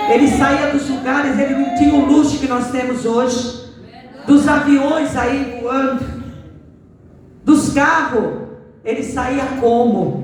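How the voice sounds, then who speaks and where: Slowed to a very slow pace with long, frequent pauses, a man speaks at an extremely high pitch, with audible room echo and noticeable background noise. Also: fairly even intonation. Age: 60s. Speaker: guest preacher. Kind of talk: sermon. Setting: church service.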